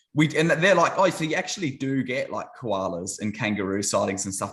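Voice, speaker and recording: A man speaks fairly quickly in an Australian accent, his pitch swinging very widely. The recording is very clean, with a silent background. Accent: thick Australian. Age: 30s. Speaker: YouTuber, ministry channel. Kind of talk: casual chat.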